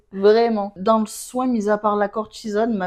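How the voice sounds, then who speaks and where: A woman's voice over noticeable background noise. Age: 20s. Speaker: patient sharing eczema experience. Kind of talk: casual chat. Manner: animated.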